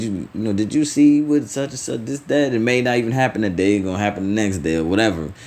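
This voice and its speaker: In a room with audible echo, a man with a fairly low voice and ordinary pitch variation talks at a very fast pace. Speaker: religious teacher. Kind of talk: sermon. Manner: halting, repeats words.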